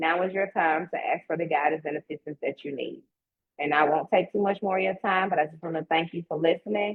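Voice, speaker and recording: A woman speaks in a Southern US accent at a fairly quick pace. Her pitch is fairly low. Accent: Southern twang. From US South (Mississippi). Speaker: real estate agent. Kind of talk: promotional talk in a live online event; casual chat. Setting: online live stream. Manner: animated.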